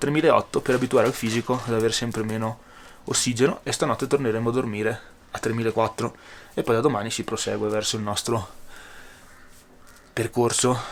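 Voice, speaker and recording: A man speaks at a fairly quick pace. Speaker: travel vlogger and hiker. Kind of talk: casual vlog narration.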